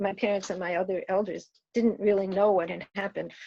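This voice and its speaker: A woman's medium-pitched voice with vocal fry, monotone flat intonation and a moderate pace. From rural New York State. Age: 70s. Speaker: activist. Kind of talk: commencement address with storytelling.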